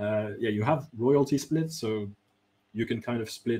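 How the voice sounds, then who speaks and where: Speaking at a fairly slow pace, a man talks with a French accent. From France. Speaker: game designer. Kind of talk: interview.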